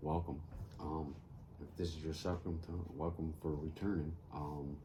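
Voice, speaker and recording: An American-accented man speaks in a very deep, low, somewhat breathy voice with a dark, mellow tone and monotone, flat intonation, with audible room echo. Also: moderate pace. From US Northeast (upstate New York). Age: 50s. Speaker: crafting youtuber. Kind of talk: casual chat while crafting. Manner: halting, many fillers.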